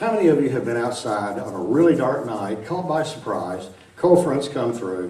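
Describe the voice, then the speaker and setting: A man with an Arkansas accent, very wide pitch swings, audible room echo and noticeable background noise. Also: medium pitch for a man, moderate pace. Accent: Arkansas Southern. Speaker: science lecturer. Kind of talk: public lecture. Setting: large auditorium with audience. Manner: casual, chatty.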